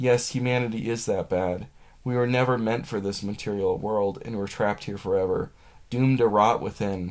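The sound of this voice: The clip features an unforced reading voice. It is heard throughout.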